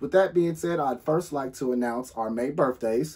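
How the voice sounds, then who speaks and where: The speaker is a man. His pitch varies an ordinary amount. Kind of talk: announcement to club members. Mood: warm, friendly. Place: home room. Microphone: phone near.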